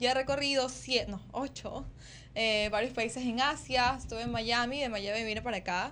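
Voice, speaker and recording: Fairly even intonation and a moderate pace in an ordinary speaking voice. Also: woman. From Ecuador. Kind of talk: interview.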